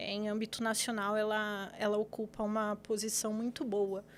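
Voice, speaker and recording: On a very clean recording with a silent background, a woman talks at a fairly slow pace and a fairly high pitch. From São Paulo city, Brazil. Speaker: lawyer. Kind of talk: podcast interview. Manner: hesitant, many fillers.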